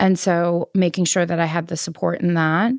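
With a New York accent, a woman talks at a moderate pace in a fairly low pitch with fairly even intonation, the sound dry and close with no echo. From New York City, Queens. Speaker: patient sharing illness story, fashion worker. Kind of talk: personal testimony interview.

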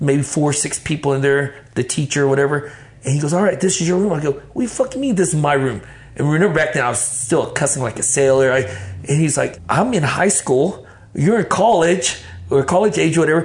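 Fairly quick and lively in intonation, a man speaks in an ordinary speaking voice at a fairly high pitch. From Vietnam, raised in Dallas area, Texas. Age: 50s. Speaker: podcast guest, ministry leader. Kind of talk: casual chat, life testimony. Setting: garage lounge.

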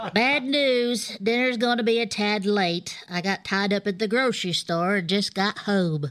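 A woman talks at a fairly slow pace with hardly any pauses, in a medium pitch with ordinary pitch variation. Her loudness stays very even, and she has a plain, everyday voice. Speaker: comedy character bit. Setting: video call. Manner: laid-back, spaced-out stoner drawl; giggly, meandering.

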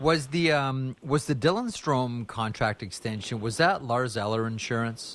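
This man uses a normal speaking voice at medium pitch, talking at a moderate pace with ordinary pitch variation and hardly any pauses. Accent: Canadian. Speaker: sports radio host. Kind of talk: sports talk radio.

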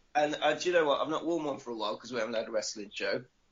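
This man speaks with an English Midlands accent. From English Midlands (Nuneaton, Warwickshire). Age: 40s. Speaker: wrestler and podcaster. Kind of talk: casual interview. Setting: Skype call.

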